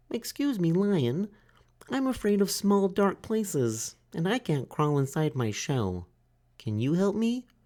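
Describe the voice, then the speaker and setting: A put-on character voice sits at a middle pitch. It moves at a fairly slow pace with very wide pitch swings. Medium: read story. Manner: polite, timid.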